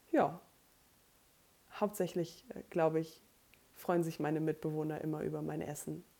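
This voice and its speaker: A woman's very deep, low-pitched voice with vocal fry, a dark, mellow tone, monotone, flat intonation, a moderate pace and long, frequent pauses. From Germany, rural Lower Saxony (Emsland near Meppen). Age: 20s. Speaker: podcast co-host, bookkeeper and student. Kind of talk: casual chat.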